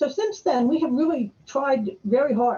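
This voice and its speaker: A woman speaks in an American accent with a dark, mellow tone. Her voice is somewhat breathy, with ordinary pitch variation. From northern US. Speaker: conference speaker. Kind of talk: conference presentation. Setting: virtual conference. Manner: fast.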